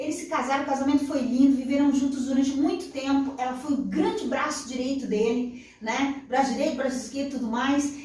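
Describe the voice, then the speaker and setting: Her intonation fairly even, a woman talks at a fairly quick pace and a high pitch, with audible room echo and noticeable background noise. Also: hardly any pauses. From Brazil, interior of São Paulo state. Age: 40s. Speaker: journalist and radio broadcaster. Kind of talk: interview.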